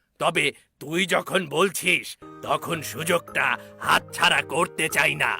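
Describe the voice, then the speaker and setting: A man puts on a cartoonish character voice. He speaks at a very slow pace. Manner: gloating, sly.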